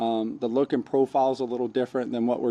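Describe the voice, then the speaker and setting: At a very fast pace, a man with a medium-pitched, dark, mellow voice speaks in a monotone, flat way. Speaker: AV equipment reviewer. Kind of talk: product review demo. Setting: large insulated shop with metal walls, concrete floor. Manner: casual, many fillers; moderate volume, carrying voice.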